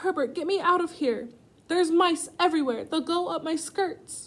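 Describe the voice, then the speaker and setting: A shrill, shouting, female-sounding put-on character voice at an extremely high pitch, raised and projected, at a moderate pace. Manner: screaming, frantic.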